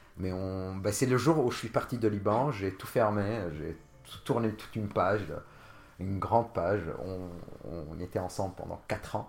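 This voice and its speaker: The speaker talks at a fairly slow pace, with ordinary pitch variation and big swings in loudness. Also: man, fairly low pitch for a man. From Lebanon, Jounieh. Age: 30s. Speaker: podcast guest. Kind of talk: casual interview, personal story. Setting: host's home. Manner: halting, many fillers.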